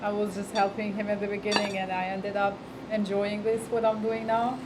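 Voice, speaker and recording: A woman with a non-native accent speaks at a fairly quick pace in monotone, flat intonation, with audible room echo and noticeable background noise. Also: medium pitch for a woman. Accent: foreign. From Europe. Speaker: restaurant owner. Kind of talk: casual interview. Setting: restaurant. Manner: hesitant, many fillers.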